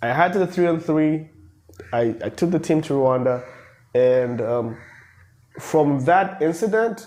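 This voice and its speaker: Dark and mellow, the voice moves through ordinary pitch variation. It keeps a moderate pace. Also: man. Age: 20s. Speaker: basketball coach. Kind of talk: interview. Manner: animated.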